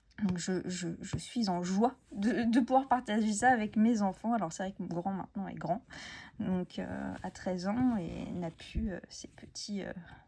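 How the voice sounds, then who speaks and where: A woman speaks at a medium pitch and a fairly slow pace with ordinary pitch variation. Her tone is dark and mellow and somewhat breathy. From France, Essonne countryside. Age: 30s. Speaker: crafts YouTuber. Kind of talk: casual chat. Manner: hesitant, many fillers.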